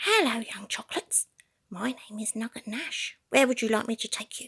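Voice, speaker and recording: A woman whispering in a put-on character voice. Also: moderate pace. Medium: read story. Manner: polite, welcoming.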